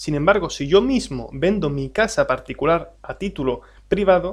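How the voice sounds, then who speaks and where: Against a quiet background, a man with an Andalusian accent talks at a moderate pace, his high voice carrying lively intonation. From Andalusia, Spain. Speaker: tax adviser and exam-prep teacher. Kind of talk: lecture. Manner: hesitant, many fillers.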